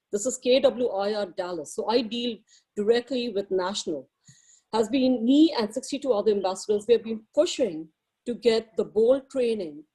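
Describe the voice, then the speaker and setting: With an Indian accent, a woman speaks at a moderate pace in a fairly high voice with a dark, mellow tone and ordinary pitch variation. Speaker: realtor. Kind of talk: personal testimony at a meeting. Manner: halting.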